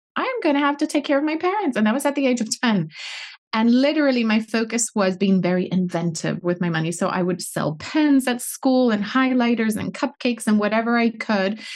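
In a Puerto Rican accent, a woman talks at a fairly quick pace with a fairly high pitch and lively intonation. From Puerto Rico. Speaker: financial coach. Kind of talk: podcast interview.

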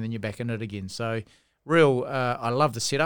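On a very clean recording with a silent background, a man speaks with a New Zealand accent. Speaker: rugby coach and former referee. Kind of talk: casual chat. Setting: studio.

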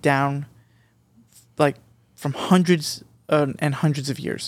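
The recording is very clean, with a silent background. Speech comes at a moderate pace with fairly even intonation. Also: man. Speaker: podcast panelist. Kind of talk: casual chat.

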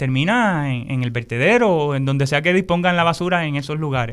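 A man in a normal speaking voice talks at a fairly quick pace, fairly high in pitch, with lively intonation. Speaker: agroecology educator. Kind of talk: interview.

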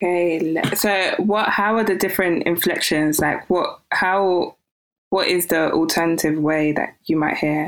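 Speaking in an unremarkable speaking voice, a woman of fairly low pitch goes at a fairly slow pace, with very even loudness and fairly even intonation. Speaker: podcast host. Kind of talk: casual interview.

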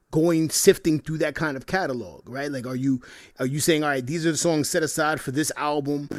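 A man with an unremarkable speaking voice, fairly high in pitch, talking at a fairly quick pace with fairly even intonation. The recording is very clean, with a silent background. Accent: American. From New York. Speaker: podcast co-host. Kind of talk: casual chat.

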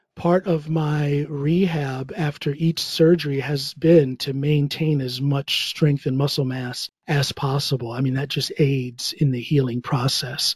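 A man with an American accent speaks at a fairly slow pace, somewhat breathy and fairly high in pitch. His intonation stays fairly even, and the sound is dry and close with no echo. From US Midwest, Ohio. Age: 50s. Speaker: musician, comedian and powerlifter. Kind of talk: interview.

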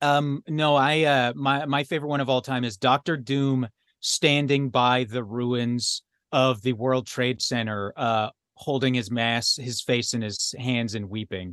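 Ordinary pitch variation marks a man's medium-pitched voice. The sound is dry and close with no echo, over a quiet background. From Alberta, Canada. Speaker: podcast host. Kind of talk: casual chat. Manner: halting, many fillers.

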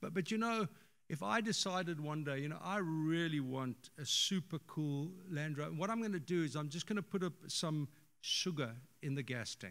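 Here is a normal speaking voice at a moderate pace. Its intonation is lively. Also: man, fairly high pitch for a man. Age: 60s. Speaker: pastor. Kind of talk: sermon. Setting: church.

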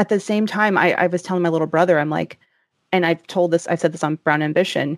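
A woman with a fairly low pitch talks at a very fast pace and fairly even intonation, in a very clean recording with a silent background and a dry, close sound with no echo. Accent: American. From US South. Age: 30s. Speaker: podcast host and personal finance journalist. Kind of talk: casual interview chat.

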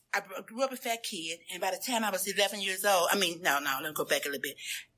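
Very fast speech in a Southern US accent, with an animated tone. The recording is very clean, with a silent background. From US South (Memphis, Tennessee). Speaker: recovery speaker. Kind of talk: testimony.

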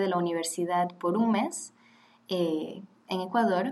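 A woman's medium-pitched, unremarkable speaking voice at a fairly slow pace, with ordinary pitch variation. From Switzerland (Geneva, French-speaking), then Panama from 15. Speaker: graduate student. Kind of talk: casual chat.

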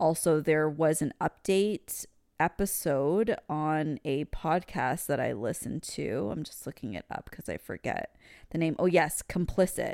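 A woman talks at a fairly slow pace with a very deep, low pitch and lively intonation. The recording is very clean, with a silent background and a dry, close sound with no echo. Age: 30s. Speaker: podcast host. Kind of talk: casual chat. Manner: conversational.

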